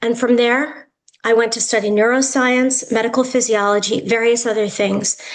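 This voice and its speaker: With an American accent, a woman speaks at a fairly high pitch and moderate pace amid audible room echo. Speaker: yoga therapist and educator. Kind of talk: lecture.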